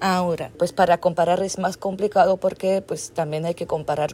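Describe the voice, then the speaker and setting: Fairly low in pitch with ordinary variation, a woman speaks in a normal speaking voice. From Belgium. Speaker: anthropologist. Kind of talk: interview.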